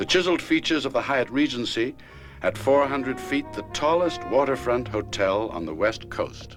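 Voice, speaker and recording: A moderate pace and lively intonation, with music in the background. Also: man, medium pitch for a man. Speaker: narrator. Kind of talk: documentary narration. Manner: emotive, genteel.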